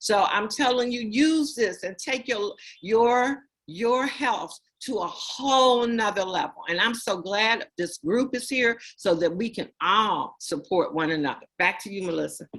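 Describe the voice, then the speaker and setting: A fairly high-pitched woman with an American accent, lively intonation, and a fairly slow pace. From US South, Florida coast. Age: 60s. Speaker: company founder and sales officer. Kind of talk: testimony.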